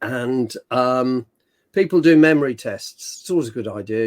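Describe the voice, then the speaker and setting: A man's medium-pitched voice in an American accent. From Britain. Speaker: herpetologist. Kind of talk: podcast interview. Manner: animated storytelling.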